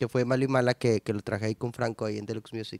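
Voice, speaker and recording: A man's voice is heard in a very clean recording with a silent background and a dry, close sound without echo. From northern Mexico, San Nicolás de los Garza, Monterrey. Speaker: musician and producer. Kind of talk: casual interview. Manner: casual slangy, halting with repetitions.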